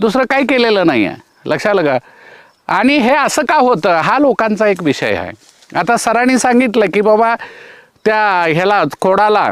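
A man with a high voice talks with lively intonation and very even loudness. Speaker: retired agriculture officer, organic farming trainer. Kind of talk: on-farm explanation interview.

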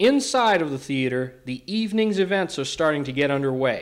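A man's fairly high-pitched voice, an ordinary speaking voice, at a moderate tempo. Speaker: event reporter. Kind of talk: scripted narration. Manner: formal.

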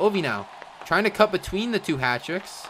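Crowd noise fills the background as a man speaks at a fairly quick pace. His tone is animated and upbeat, with very wide pitch swings. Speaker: sports commentator. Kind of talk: live play-by-play sports commentary for a Minecraft hockey game. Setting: live stream. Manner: rapid-fire, clipped play-by-play, animated and upbeat.

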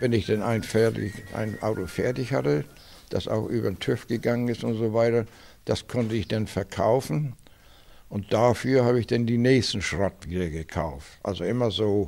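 A man speaks in a dark, mellow tone at a moderate pace. His pitch varies in an ordinary way. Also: fairly low pitch for a man. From northern Germany, Schleswig-Holstein. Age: 80s+. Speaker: classic car collector. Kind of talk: interview. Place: garage. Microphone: handheld.

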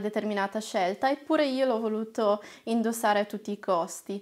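Against a quiet background, a woman speaks at a fairly high pitch with ordinary pitch variation. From northern Italy, Lombardy (Castiglione delle Stiviere); Lombardy, Italy. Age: 20s. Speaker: trainee lawyer and activist; trainee lawyer. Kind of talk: personal testimony to camera. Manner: hesitant, frequent filler sounds. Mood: warm, reflective. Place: studio.

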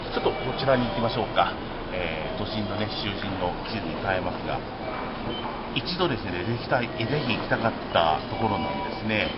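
A man talks fairly quickly, with loud noise filling the background. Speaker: walking vlogger. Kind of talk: walking tour commentary. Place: station. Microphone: phone near.

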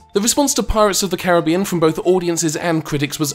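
A man speaks with a British accent. Music plays in the background. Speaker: game reviewer. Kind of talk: comedic game review narration. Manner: dry, sarcastic.

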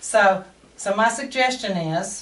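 A woman with a Texan accent, plus audible room echo. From Texas. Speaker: workshop speaker and candle seller. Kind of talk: talk to a small audience. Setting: live talk to small audience. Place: shop. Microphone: camera far.

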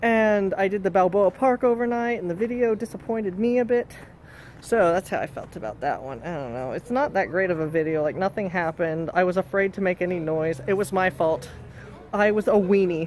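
A man talking at a fairly quick pace with lively intonation over light background noise. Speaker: vlogger exploring a cemetery. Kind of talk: casual vlog chat. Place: street. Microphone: phone near.

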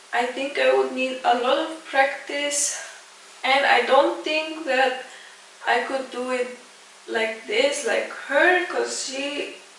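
A woman speaks at a very slow pace with a high pitch and fairly even intonation. Light background noise and audible room echo are present. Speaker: reaction video host. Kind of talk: casual talk to camera. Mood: warm, admiring. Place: home room.

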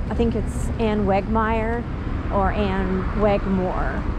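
Noticeable background noise accompanies a woman whose voice is dry with no echo. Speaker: vlogger. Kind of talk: casual vlog chat. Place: street. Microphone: phone near.

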